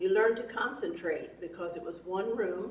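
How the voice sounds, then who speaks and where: There is audible room echo as the speaker, with an American accent, keeps a fairly even intonation. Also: woman. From US Midwest, Clinton County, Missouri. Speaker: oral history interviewee. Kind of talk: oral history interview. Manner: hesitant, many fillers.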